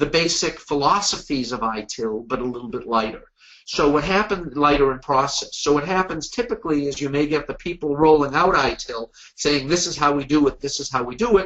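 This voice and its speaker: A man speaks at a fairly high pitch and a moderate pace. His intonation is lively. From US Northeast, Boston. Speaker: webinar presenter, management consultant. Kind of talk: webinar presentation. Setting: online webinar.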